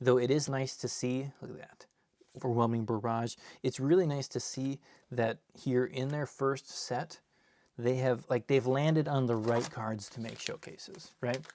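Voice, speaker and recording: A man with an ordinary speaking voice, medium pitch, a moderate pace, and fairly even intonation. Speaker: card collector and seller opening packs. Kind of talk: live stream box opening. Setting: live stream.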